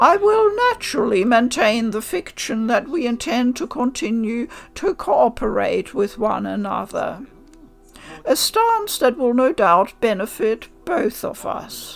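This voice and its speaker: A woman's put-on character voice, high-pitched with very wide pitch swings and a fairly slow pace, over faint background music. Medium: read story. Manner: formal, haughty.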